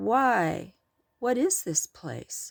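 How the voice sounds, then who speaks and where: Pitched fairly high, a female-sounding voice performs a put-on character voice. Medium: read story.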